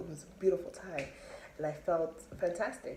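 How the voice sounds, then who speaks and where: A woman speaking at a fairly quick pace in a fairly low pitch, with noticeable background noise and audible room echo. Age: 20s. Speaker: vlogger. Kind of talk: personal storytelling monologue. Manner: casual, many fillers.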